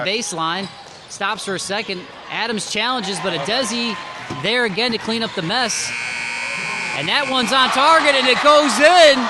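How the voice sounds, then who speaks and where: Raising and projecting his high-pitched voice over noticeable background noise, a man talks at a moderate pace with lively intonation and long, frequent pauses. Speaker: sportscaster. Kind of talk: basketball play-by-play. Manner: excited, energetic.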